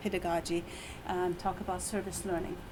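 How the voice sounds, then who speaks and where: In an Iranian accent, a woman talks at a medium pitch. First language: Persian. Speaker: university lecturer. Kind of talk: presentation. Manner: halting.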